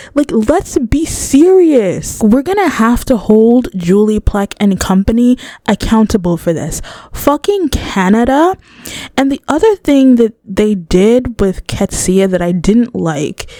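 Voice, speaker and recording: A woman speaks at a fairly slow pace in a fairly high, animated voice with very wide pitch swings. The sound is dry and close, with no echo. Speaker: youtuber reviewing TV shows. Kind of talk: casual commentary video. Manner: stuttering at times.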